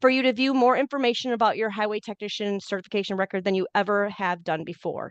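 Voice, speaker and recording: A woman's fairly high voice with ordinary pitch variation, dry and close with no echo, over a quiet background. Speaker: program director giving training. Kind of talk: online training webinar. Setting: video call. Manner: fast; informal.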